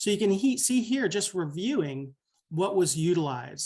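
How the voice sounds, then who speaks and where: The background stays quiet while a man is speaking. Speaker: physician presenter. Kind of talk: software demo presentation. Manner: fast.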